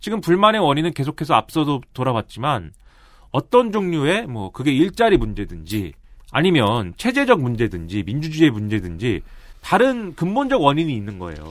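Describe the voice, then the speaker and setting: The voice moves through very wide pitch swings in a very clean recording with a silent background. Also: man. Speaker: political commentator. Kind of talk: explanatory commentary. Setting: studio. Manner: fast talker; loud.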